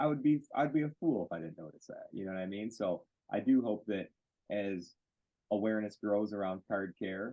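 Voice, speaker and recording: With a Western US accent, a man speaks at a moderate pace and with ordinary pitch variation. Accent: American, self-described cowboy. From Michigan, US. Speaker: card care product maker. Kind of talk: interview. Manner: animated.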